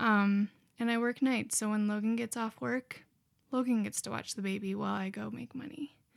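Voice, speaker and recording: In a normal speaking voice, a woman with an American accent talks at a moderate pace, fairly high in pitch with ordinary pitch variation. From Montana (small town). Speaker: college student. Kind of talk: casual chat.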